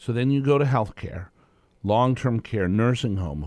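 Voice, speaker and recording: A man with lively intonation. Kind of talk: radio co-host pitching the coming segment, salesy banter. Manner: enthusiastic, folksy, hard-sell tease that plays off the other host.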